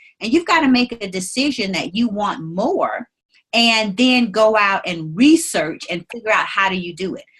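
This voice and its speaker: In a Mississippi accent, a woman talks at a fairly high pitch with lively intonation. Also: moderate pace. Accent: Southern US (Mississippi). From US South, Mississippi Delta. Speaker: attorney and business leader. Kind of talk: interview.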